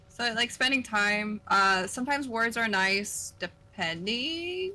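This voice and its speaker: A woman with an American accent has an unremarkable speaking voice at fairly high pitch. She talks at a fairly slow pace with lively intonation and very even loudness. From US Pacific Northwest, northern Oregon. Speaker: streamer. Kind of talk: casual chat.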